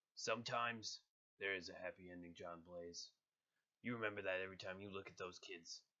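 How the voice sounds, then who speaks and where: In a put-on character voice, a man sounds raspy, with fairly low pitch, fairly even intonation and a fairly quick pace. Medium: voice reel. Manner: grim, cold.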